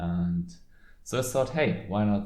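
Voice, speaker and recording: Speaking at a fairly slow pace with a German accent, the voice carries audible room echo. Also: man. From Germany. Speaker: card game content creator. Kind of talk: casual commentary video. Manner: halting, many fillers.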